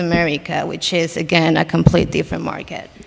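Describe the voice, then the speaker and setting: Her fairly low-pitched voice stays monotone and flat as this woman speaks over noticeable background noise. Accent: Spanish. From Mexico City. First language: Spanish. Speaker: content creator and performer. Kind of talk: panel discussion.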